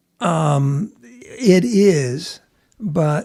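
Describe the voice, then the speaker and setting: Somewhat breathy and dark, mellow in tone, a man with a fairly high pitch talks with lively intonation. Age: 70s. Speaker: bullion dealer. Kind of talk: interview answer.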